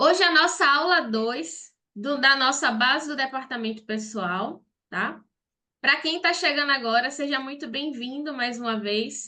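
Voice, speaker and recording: A woman's high-pitched, raised and projected voice, bright and sharp in tone, with lively intonation at a fairly slow pace. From Brazil, Salvador, Bahia. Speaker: accountant and online course teacher. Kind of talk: online live class. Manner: direct, conversational.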